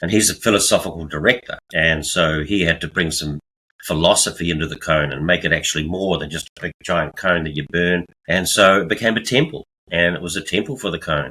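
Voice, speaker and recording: Man with a New Zealand accent, very deep and low in pitch, bright and sharp in tone, at a fairly quick pace. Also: ordinary pitch variation. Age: 70s. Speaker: artist, retiree. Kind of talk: interview.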